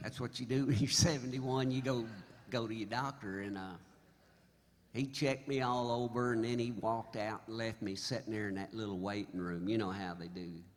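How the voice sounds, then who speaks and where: A man's medium-pitched voice with an American accent at a fairly quick pace, with audible room echo. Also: ordinary pitch variation. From Oklahoma. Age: 70s. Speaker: singer-songwriter. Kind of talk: stage banter storytelling. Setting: stage with audience. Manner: animated.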